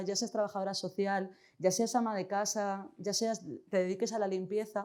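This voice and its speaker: With a dark, mellow tone, a woman speaks at a medium pitch and with fairly even intonation. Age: 40s. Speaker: social educator, conference speaker. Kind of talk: conference talk. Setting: stage at a conference.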